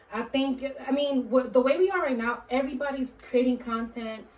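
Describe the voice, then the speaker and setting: A woman speaks in a high voice with ordinary pitch variation. Noticeable background noise runs under her. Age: 30s. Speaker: podcast host. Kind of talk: casual chat.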